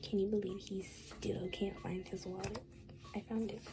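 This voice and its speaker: Soft-spoken speech at a fairly slow pace over noticeable background noise. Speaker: gaming video creator. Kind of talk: let's play commentary. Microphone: quiet recording.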